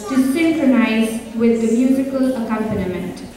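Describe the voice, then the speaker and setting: In a room with strong echo and light background noise, a woman speaks at a high pitch with ordinary pitch variation and a fairly slow pace. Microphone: camera far.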